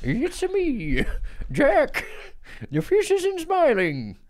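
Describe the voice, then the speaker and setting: Using a put-on character voice, the speaker talks at a high pitch and a very slow pace. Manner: playful, comic.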